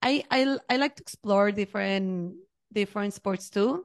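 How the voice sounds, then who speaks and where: Recorded with a dry, close sound and no echo, a woman with a Mexican accent speaks at a medium pitch with ordinary pitch variation. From Mexico. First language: Spanish. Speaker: HR professional. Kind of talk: casual interview. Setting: video call.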